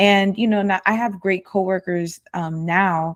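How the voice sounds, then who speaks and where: With a very clean recording and a silent background, a woman speaks in a normal speaking voice at medium pitch and a moderate pace. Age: 20s. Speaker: podcast co-host. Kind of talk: casual chat.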